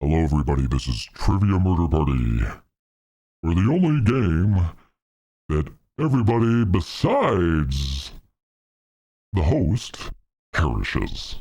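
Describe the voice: Putting on a character voice, a man speaks very deep and low with very wide pitch swings, very even loudness, a moderate pace, and long, frequent pauses.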